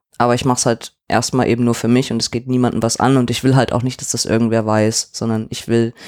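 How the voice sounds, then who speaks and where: Here a man speaks at a medium pitch and a fairly quick pace. The sound is dry and close, with no echo. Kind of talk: casual chat.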